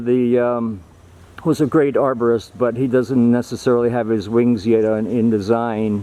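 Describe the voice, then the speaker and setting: This man has an unremarkable speaking voice at a medium pitch. He talks at a fairly slow pace. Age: 60s. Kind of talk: casual vlog walkthrough.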